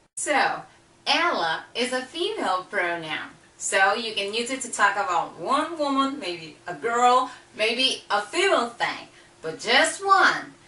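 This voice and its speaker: Speaking at a fairly slow pace, a high-pitched woman swings her pitch very widely amid audible room echo. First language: Portuguese. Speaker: language teacher. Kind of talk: tutorial.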